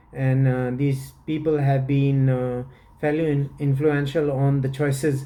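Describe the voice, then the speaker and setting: A man speaks at a fairly slow pace in a fairly high pitch, his dark, mellow tone delivered with monotone, flat intonation and audible room echo. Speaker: fragrance reviewer. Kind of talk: product review. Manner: halting, many fillers.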